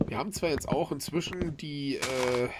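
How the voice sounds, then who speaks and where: A man speaks over loud background noise. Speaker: gamer. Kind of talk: let's play commentary.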